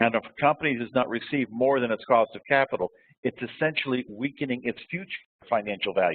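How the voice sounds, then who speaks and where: Speaking at a very fast pace, a man delivers his words. His pitch shows ordinary variation. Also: medium pitch for a man. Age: 70s. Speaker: lecturer on quality management. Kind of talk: lecture.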